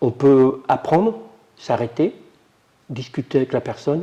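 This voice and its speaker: Very slowly, a man speaks in a dark, mellow tone that is somewhat breathy. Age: 60s. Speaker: adult literacy learner. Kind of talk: testimony. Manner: halting.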